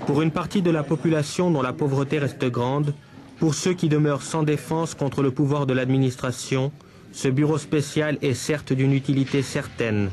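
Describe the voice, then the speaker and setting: An unremarkable speaking voice from a man, fairly high in pitch, with fairly even intonation at a moderate pace. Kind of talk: 1978 newsreel narration and interviewer questions. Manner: formal, measured, crisp documentary-style delivery; even-paced, authoritative voice-over.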